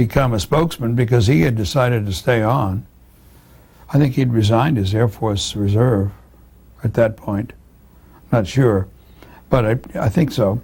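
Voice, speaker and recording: Somewhat breathy and at medium pitch, a man speaks with ordinary pitch variation and long, frequent pauses. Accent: American. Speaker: astronaut. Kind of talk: interview answer.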